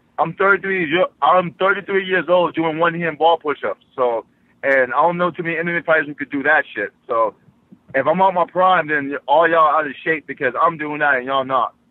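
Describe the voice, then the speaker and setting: A man's high-pitched voice with an American accent, at a fairly quick pace. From Boston, US. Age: 30s. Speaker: mixed martial arts fighter. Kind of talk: casual interview. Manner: animated.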